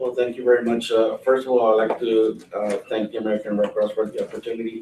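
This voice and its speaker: A man speaks at a very fast pace with a Spanish accent. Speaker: Red Cross worker. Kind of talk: panel discussion.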